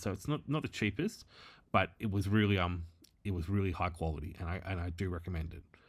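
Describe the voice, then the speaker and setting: In a very clean recording with a silent background, a man with an Australian accent talks at a very fast pace. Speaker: former bookkeeper, tech entrepreneur. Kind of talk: tutorial. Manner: casual, hesitant with fillers.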